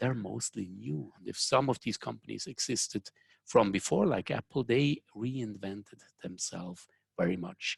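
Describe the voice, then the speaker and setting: A man speaks at a moderate pace in a fairly low pitch, with vocal fry and lively intonation. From Switzerland. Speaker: software engineering consultant and company founder. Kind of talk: webinar presentation. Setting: online webinar, remote from Zurich.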